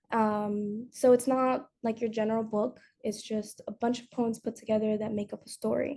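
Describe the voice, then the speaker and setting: Her voice is fairly high-pitched yet dark and mellow in tone, somewhat breathy, and monotone and flat as the woman talks at a fairly slow pace. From Dominican heritage. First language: Spanish. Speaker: student. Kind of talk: school presentation. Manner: hesitant, many fillers.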